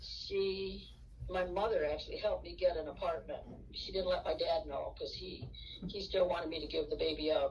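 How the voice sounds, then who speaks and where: A woman's moderate pace is heard amid audible room echo and noticeable background noise. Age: 70s. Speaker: interviewee sharing life story. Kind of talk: interview. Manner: halting.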